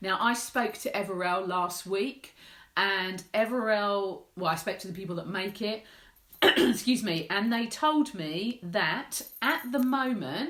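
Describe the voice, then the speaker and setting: At a fairly slow pace, a woman with an English accent speaks at medium pitch with lively intonation. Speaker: menopause support campaigner. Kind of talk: live Q&A vlog.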